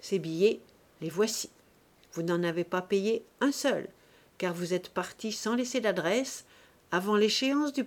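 Lively intonation over plain reading aloud.

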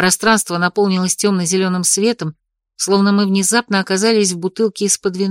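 A quiet background behind someone reading aloud in a natural voice, intonation fairly even

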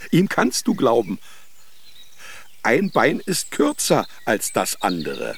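A man puts on a character voice at a medium pitch, his pitch swinging very widely. He speaks at a slow pace.

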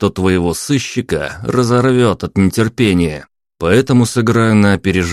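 A natural reading voice with ordinary pitch variation comes through against a quiet background.

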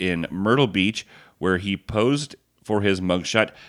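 This is an ordinary speaking voice: a man with fairly low pitch and ordinary pitch variation talks at a fairly slow pace in a very clean recording with a silent background. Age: 40s. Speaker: wrestling podcast co-host. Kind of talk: casual chat.

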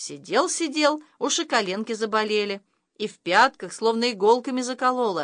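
Against a quiet background, the speaker gives a plain reading aloud.

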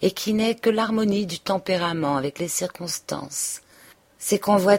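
This is a natural reading voice. The pitch rises and falls by an ordinary amount.

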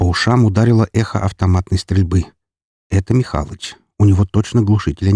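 Someone is reading aloud in a natural voice while the background stays quiet.

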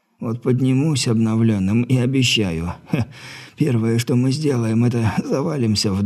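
The voice reads in a natural way.

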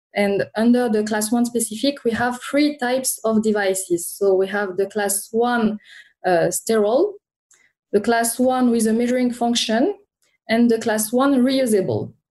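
Speaking with a French accent, a woman keeps a fairly high pitch, fairly even intonation and very even loudness at a moderate pace. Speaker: regulatory affairs consultant. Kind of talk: interview.

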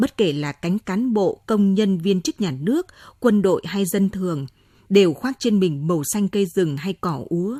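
An unforced reading voice is what this clip offers.

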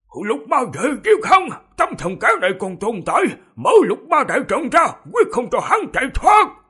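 A man shouts in a hoarse, put-on character voice, extremely high in pitch. His pitch swings very widely at a moderate pace. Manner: shouting, urgent.

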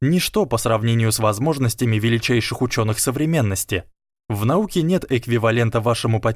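A quiet background behind plain reading aloud

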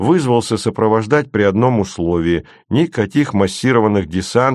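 Lively intonation runs through the speech. The text is simply read aloud, plainly.

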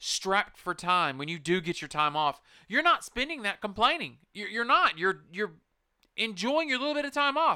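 A man speaks in a raised, projected voice with a bright, sharp tone and a high pitch. His pitch swings very widely in a very clean recording with a silent background. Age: 30s. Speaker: podcast host. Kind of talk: casual monologue. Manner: halting.

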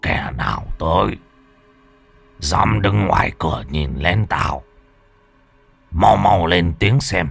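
A man's hissing, raspy, put-on character voice, very deep and low with very wide pitch swings, at a very slow pace over faint background music. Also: long, frequent pauses. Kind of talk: rough, commanding. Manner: hissing through the teeth, threatening.

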